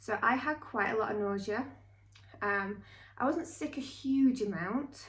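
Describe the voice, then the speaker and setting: A woman talks at a moderate pace with a somewhat breathy voice. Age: 30s. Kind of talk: casual talk to camera.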